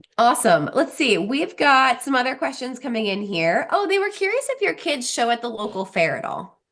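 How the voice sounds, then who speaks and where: A Pennsylvania accent at a moderate pace, with very wide pitch swings and hardly any pauses. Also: woman, high pitch for a woman. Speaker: program host. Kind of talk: live Q&A chat. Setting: live video chat. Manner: animated.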